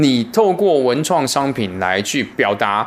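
Medium-pitched male voice amid noticeable background noise. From Taiwan. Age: 40s. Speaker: martial arts teacher. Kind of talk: interview.

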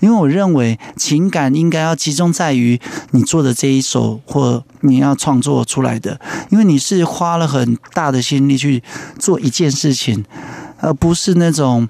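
With noticeable background noise behind him, a man with a fairly high pitch speaks at a fairly slow pace and very even loudness. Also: ordinary pitch variation. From Yilan, Taiwan. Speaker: singer-songwriter. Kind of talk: radio interview.

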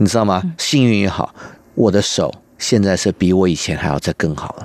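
The man's voice sits fairly low, with ordinary pitch variation. He speaks at a fairly slow pace. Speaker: cellist and music school owner. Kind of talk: interview conversation. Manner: halting, searching for words.

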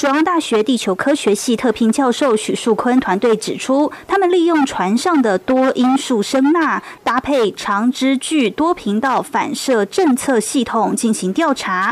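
A woman speaks at a high pitch with very wide pitch swings, at a fairly slow pace with hardly any pauses. Her loudness stays very even, and background noise is noticeable. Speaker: news reporter. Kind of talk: news report.

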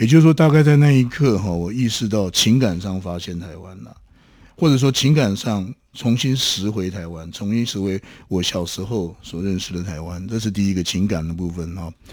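An ordinary speaking voice from a man, fairly low in pitch, with lively intonation at a moderate pace on a very clean recording with a silent background. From Taiwan (Taoyuan, Taipei). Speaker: academic researcher. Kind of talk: interview, reflective storytelling.

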